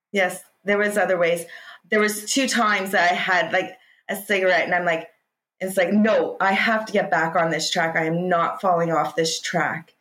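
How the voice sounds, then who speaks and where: A woman with a Canadian accent speaks at a moderate pace in an unremarkable speaking voice, her pitch medium, her intonation fairly even and her loudness very even. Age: 40s. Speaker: hypnotist, former smoker. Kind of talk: interview, personal testimony.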